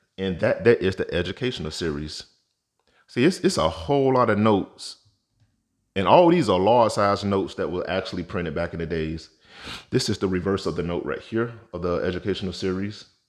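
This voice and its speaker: A man speaks at a fairly low pitch and a fairly quick pace. He has an ordinary speaking voice, and the background is quiet. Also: ordinary pitch variation. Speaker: currency collector YouTuber. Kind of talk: tutorial. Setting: home vault.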